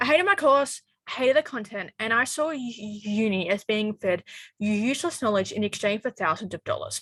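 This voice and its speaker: Lively intonation and a bright, sharp tone with an Australian accent, in a dry, close sound with no echo. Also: woman. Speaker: university student. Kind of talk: scripted monologue. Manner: halting.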